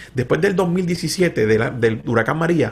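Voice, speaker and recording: A man at a moderate pace. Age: 50s. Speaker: pastor. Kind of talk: interview conversation. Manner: animated.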